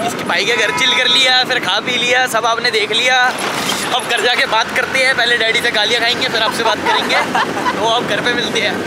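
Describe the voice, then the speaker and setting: A man speaks at a moderate pace, the sound dry with no echo but with loud background noise. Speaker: vlogger. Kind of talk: casual vlog chat. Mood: relaxed, joking. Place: street. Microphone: phone near.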